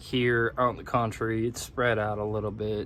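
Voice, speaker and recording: An American accent comes through. The voice belongs to a man. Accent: Michigan accent noticed by locals in Kentucky. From Michigan. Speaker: vlogger. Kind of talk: casual vlog talk. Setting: in a car, partly. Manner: casual, with some fillers.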